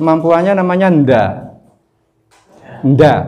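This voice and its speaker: In a room with audible echo, a man speaks at a very slow pace with ordinary pitch variation. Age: 60s. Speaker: Islamic preacher and business teacher. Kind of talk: religious business lecture. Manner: casual, joking.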